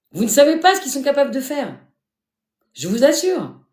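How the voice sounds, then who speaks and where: A woman talks in an animated tone at a moderate pace, her pitch swinging very widely, with audible room echo. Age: 50s. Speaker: live streamer sharing life story. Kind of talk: live stream talk to viewers.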